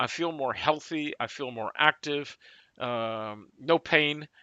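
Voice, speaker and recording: The voice has a bright, sharp tone and ordinary pitch variation, moving at a very slow pace in a dry, close sound with no echo against a quiet background. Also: man. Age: 60s. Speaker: talk show co-host. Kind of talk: sales pitch. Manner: animated.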